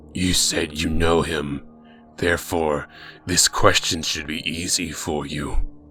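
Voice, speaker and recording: Putting on a character voice, a man speaks in a very deep, low, raspy pitch at a fairly slow pace. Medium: read story. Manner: cold, formal, measured.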